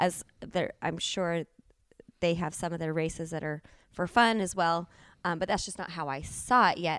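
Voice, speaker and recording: Speech at a moderate pace, captured very cleanly against a silent background. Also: woman, fairly low pitch for a woman. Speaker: triathlete and coach. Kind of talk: casual chat. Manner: animated.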